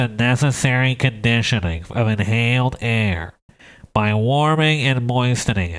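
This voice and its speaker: A man uses a nasal, put-on character voice at medium pitch and a moderate pace. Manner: exaggerated, comic.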